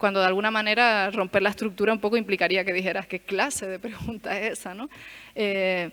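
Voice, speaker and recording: Talking at a fairly quick pace, a woman uses a medium pitch. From Canary Islands, Tenerife. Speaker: lecturer. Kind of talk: lecture. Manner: hesitant, many fillers.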